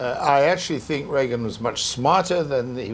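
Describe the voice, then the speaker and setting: Over light background noise, the speaker goes at a very fast pace with ordinary pitch variation. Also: man. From England. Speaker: veteran journalist; guest. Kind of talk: panel discussion. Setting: stage with audience. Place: hall.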